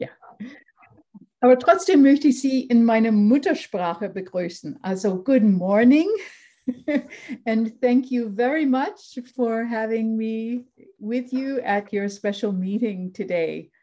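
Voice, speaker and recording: Very slow and broken by long, frequent pauses, a woman speaks at a fairly high pitch in a dark, mellow tone with lively intonation. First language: English (speaking German). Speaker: lecturer. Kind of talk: lecture. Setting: video call. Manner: formal.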